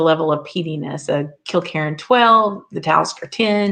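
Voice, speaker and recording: A woman speaks at a moderate pace with a Southern US accent. Her voice sits fairly low. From US South. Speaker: whisky reviewer, guest host of a live show. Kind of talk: live stream chat, reading viewer comments. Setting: live stream with chat.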